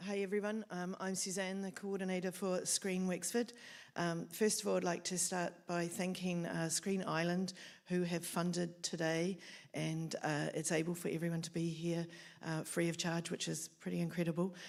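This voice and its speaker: On a very clean recording with a silent background, a woman with a New Zealand accent talks at a moderate pace in a monotone, flat, fairly low voice. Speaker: film office coordinator. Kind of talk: event welcome speech.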